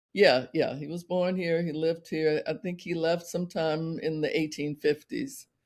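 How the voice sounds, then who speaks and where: A high-pitched man talks at a moderate pace with hardly any pauses. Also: ordinary pitch variation. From New Orleans, Louisiana. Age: 60s. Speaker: opera company leader. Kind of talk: interview conversation.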